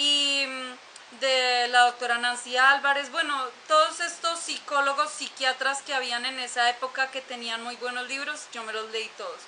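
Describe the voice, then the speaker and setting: A woman's raised, projected, high voice, fairly slow and fairly even in intonation, with big swings in loudness amid noticeable background noise. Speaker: YouTuber sharing personal story. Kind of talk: personal testimony monologue. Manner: halting, many fillers.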